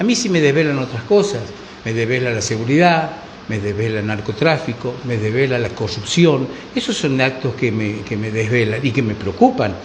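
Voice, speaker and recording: Lively intonation marks a man's medium-pitched voice at a moderate pace. The room echo is audible and the background noise is noticeable. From Argentina. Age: 60s. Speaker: political commentator. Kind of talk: panel discussion. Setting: bar.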